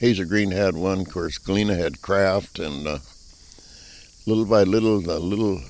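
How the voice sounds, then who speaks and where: A man talks with a very deep, low pitch. He leaves long, frequent pauses. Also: ordinary pitch variation, moderate pace. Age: 80s+. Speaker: retired farmer. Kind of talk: interview answer.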